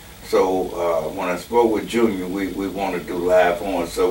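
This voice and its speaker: Over noticeable background noise and audible room echo, a man with a very deep, low voice speaks at a moderate pace. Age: 70s. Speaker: horn arranger and musician. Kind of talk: casual interview. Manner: relaxed, hesitant with many fillers.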